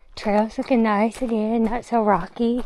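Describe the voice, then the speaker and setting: A woman's voice comes through with clear background noise behind it. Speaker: long-distance hiker and vlogger. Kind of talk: casual vlog narration while hiking. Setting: outdoors on a mountain trail.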